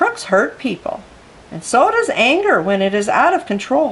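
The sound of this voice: A woman puts on a character voice, fairly high and fairly bright, with big pitch swings. She talks at a fairly slow pace, and the room echo is audible.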